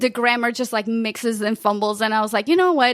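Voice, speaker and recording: A woman with a Portuguese accent talks at a very fast pace. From Portugal. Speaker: podcast consultant. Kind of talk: interview.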